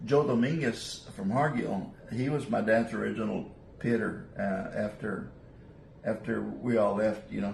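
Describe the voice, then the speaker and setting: Over noticeable background noise and audible room echo, a man speaks in a South Texas accent at a fairly low pitch. He keeps a fairly slow pace with ordinary pitch variation. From South Texas (Rio Grande Valley). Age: 70s. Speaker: gamefowl breeder. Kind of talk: interview. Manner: halting.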